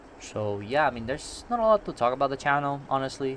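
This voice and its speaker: A man with a Puerto Rican accent at a moderate pace. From Puerto Rico. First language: Spanish. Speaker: gaming YouTuber. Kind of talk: gameplay commentary. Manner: casual, rambling with fillers.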